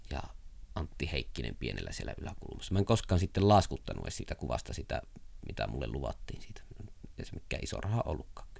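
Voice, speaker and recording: A man whispering at a very fast pace. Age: 30s. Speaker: writer. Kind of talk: interview. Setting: his workroom. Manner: chatty, storytelling.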